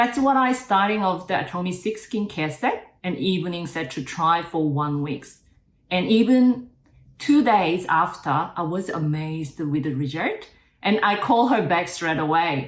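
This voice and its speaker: Very wide pitch swings mark a woman's medium-pitched voice as she talks at a fairly slow pace amid audible room echo. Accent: Korean. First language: Korean. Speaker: network marketing distributor, former nurse. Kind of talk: interview. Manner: halting.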